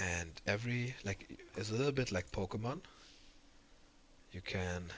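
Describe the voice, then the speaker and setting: This man, with a German accent, speaks at a fairly low pitch with ordinary pitch variation. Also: moderate pace. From Germany. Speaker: streamer and card game commentator. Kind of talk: casual livestream recap. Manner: halting, many repetitions and fillers.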